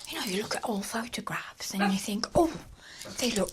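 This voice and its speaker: Against noticeable background noise, a woman with a medium pitch swings her voice very widely up and down. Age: 60s. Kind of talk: casual talk to camera. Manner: calm, gentle.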